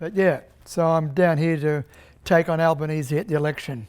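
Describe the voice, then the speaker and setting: A man's fairly high voice with an Australian accent on a very clean recording with a silent background. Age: 70s. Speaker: political candidate and filmmaker. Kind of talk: documentary interview; speech to audience.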